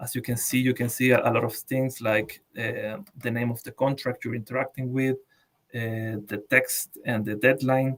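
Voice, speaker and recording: A man speaks at a moderate pace with a medium pitch and fairly even intonation. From Latin America. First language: Spanish. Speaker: blockchain developer. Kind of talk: technical tutorial. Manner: halting, many repeated words.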